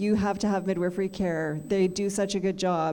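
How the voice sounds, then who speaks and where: In a Canadian accent, a woman of medium pitch speaks at a moderate pace with ordinary pitch variation, and room echo is audible. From Canada. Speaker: midwifery lecturer. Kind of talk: guest lecture Q&A.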